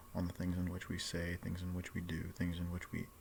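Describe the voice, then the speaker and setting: A man's quiet, very deep, low voice at a fairly quick pace. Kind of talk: casual vlog monologue. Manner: quiet, hushed; hesitant, filler-heavy.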